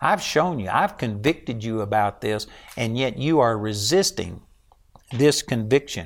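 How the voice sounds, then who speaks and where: A man at a medium pitch with a Texan accent, lively intonation and a fairly slow pace. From Texas. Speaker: preacher. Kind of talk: sermon.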